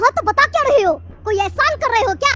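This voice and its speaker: Over clear background music, a woman races along at a very fast pace in an extremely high-pitched, cartoonish character voice. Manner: bossy, curt.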